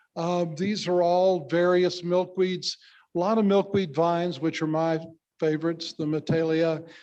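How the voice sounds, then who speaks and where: A man's high-pitched, monotone delivery with flat intonation at a moderate pace. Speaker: photographer and interpretive planner. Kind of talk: award acceptance speech. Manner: halting.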